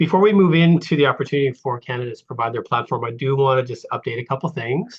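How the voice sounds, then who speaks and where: A man with a Canadian accent at a very fast pace, fairly high-pitched, with ordinary pitch variation and hardly any pauses. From Vancouver Island First Nation, Canada. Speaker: election moderator. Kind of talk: moderating a virtual town hall. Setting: video call. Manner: hesitant, many fillers.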